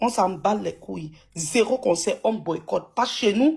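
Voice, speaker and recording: The voice is somewhat breathy and has lively intonation. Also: woman. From anglophone Cameroon. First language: English (speaking French). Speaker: live participant. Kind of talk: heated live group discussion. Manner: forceful, emphatic.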